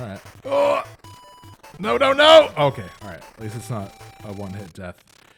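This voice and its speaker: Music plays behind a man speaking at a moderate pace. His loudness swings widely, and he leaves long, frequent pauses. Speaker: video game podcast host streaming. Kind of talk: casual live-stream commentary while gaming.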